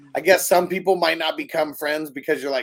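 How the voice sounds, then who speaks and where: The man talks very fast, his pitch fairly high. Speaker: podcast host. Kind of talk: casual chat. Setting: livestream. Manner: casual, profane.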